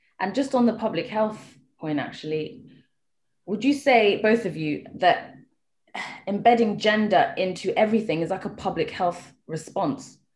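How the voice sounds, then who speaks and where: With lively intonation, a woman speaks at a moderate pace in a fairly high, somewhat breathy voice. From Kenya. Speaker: podcast co-host. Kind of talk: interview; guest introduction.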